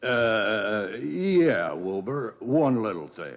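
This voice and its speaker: A man puts on a character voice at a medium pitch. He talks at a very slow pace. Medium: short film. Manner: wisecracking, sly.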